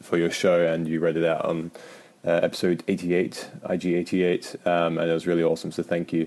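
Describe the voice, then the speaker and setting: A man with a British accent, very deep and low in pitch, with monotone, flat intonation, a moderate pace and very even loudness. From UK. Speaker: listener sending voice message. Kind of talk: casual voice message.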